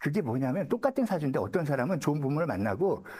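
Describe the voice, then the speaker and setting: A man with a fairly high voice and vocal fry talks at a very fast pace with very wide pitch swings. The recording is very clean, with a silent background. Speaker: saju fortune-telling lecturer. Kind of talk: lecture. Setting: seminar room with live audience. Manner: casual, conversational.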